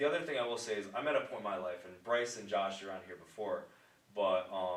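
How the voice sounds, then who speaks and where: Audible room echo around a man's fairly quick speech in an American accent. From upstate New York. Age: 20s. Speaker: pharmaceutical sales rep. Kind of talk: casual podcast interview. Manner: halting, many fillers and restarts.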